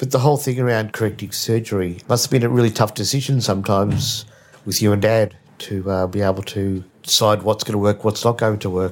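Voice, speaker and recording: Speaking at a fairly quick pace, a man uses an ordinary speaking voice with fairly low pitch and fairly even intonation. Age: 50s. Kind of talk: casual interview with family.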